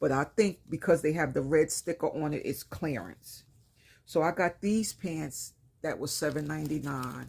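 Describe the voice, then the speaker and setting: A woman speaks with a very deep, low pitch and vocal fry, her pitch varying in an ordinary way. The recording is very clean with a silent background. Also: moderate pace. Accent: New York. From New York, Brooklyn. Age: 50s. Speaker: lifestyle vlogger. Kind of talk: casual haul vlog. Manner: casual, conversational.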